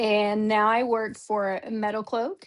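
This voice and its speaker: A woman with an Oklahoma accent speaks at a fairly high pitch. The background is quiet. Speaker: off-road industry event coordinator. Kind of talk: interview.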